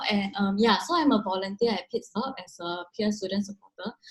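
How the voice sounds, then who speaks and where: A woman talks at a very fast pace in a fairly high voice. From Indonesia. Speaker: student peer supporter. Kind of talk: interview. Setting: video call.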